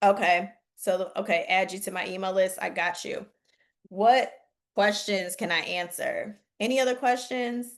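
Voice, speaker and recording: A woman with a Southern US accent speaks at a fairly slow pace and medium pitch. Her tone is animated, with ordinary pitch variation. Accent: country accent, picked up from the South. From Chicago. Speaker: real estate investing coach. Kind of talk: webinar Q&A. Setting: video call.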